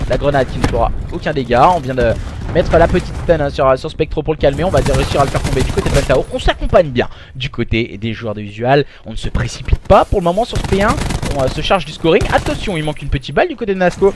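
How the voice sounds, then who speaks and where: The speaker has an animated tone and a very fast pace. Background noise is noticeable. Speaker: esports caster. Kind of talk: live commentary. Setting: live stream.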